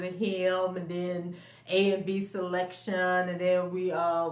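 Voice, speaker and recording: Noticeable background noise and audible room echo accompany a woman speaking at a medium pitch. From Florida. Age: 50s. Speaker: vlogger. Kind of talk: personal storytelling vlog. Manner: casual, conversational with fillers.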